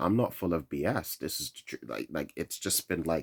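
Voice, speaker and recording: A man with a London accent speaks at a moderate pace in a very deep, low pitch. The recording is very clean with a silent background, and the sound is dry and close with no echo. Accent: London English, Nigerian heritage. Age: 20s. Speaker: vlogger. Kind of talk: rant. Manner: monotone; halting.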